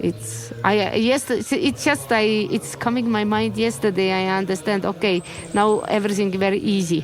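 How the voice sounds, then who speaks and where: With music in the background, a woman speaks at medium pitch with lively intonation and very even loudness. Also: moderate pace. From Estonia. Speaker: Buddhist nun. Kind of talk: interview. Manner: halting.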